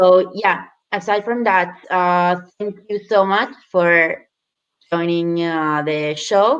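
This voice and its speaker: A woman talks at a very slow pace. Her pitch is medium with ordinary variation. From Italy. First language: Italian. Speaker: show host. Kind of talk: casual interview.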